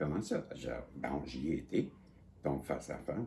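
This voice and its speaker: With audible room echo, a man speaks at a very slow pace. His very deep, low voice carries a dark, mellow tone and vocal fry. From Quebec. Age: 60s. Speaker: psychic vlogger. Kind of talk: casual monologue. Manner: halting, repetitive.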